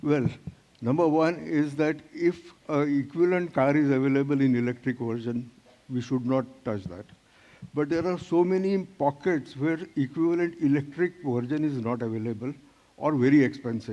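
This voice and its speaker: A man with a dark, mellow tone and a fairly high pitch talks at a moderate pace with ordinary pitch variation. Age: 70s. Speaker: startup founder. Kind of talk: startup pitch Q&A.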